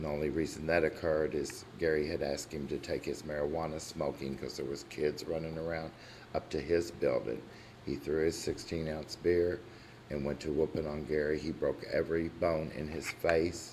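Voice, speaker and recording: A man's very deep, low voice with vocal fry, fairly even intonation, a moderate pace and audible room echo. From Kentucky, La Grange area. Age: 60s. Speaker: resident speaking at public comment. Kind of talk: public comment at council meeting. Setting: city council meeting room.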